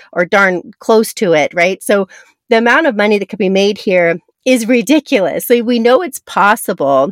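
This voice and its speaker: A woman with an unremarkable speaking voice talks at a medium pitch and moderate pace with ordinary pitch variation, in a dry, close sound with no echo. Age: 40s. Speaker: podcast host, network marketing coach. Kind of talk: motivational podcast monologue.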